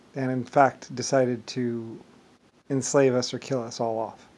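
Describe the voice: A man speaks at a fairly slow pace, his slightly mellow tone showing little pitch movement. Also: medium pitch for a man.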